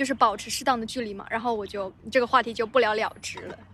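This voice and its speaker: A woman talks with a fairly even intonation and a tone that is bright and sharp. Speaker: podcast co-host. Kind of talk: casual chat. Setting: outdoors on grass by a library.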